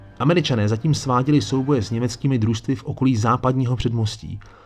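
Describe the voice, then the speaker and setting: Noticeable background noise runs under this recording. A man with a medium pitch speaks at a fairly quick pace. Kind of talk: history documentary narration. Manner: dramatic, measured storytelling pace with a solemn tone; formal, chapter-by-chapter narration, occasionally conversational asides.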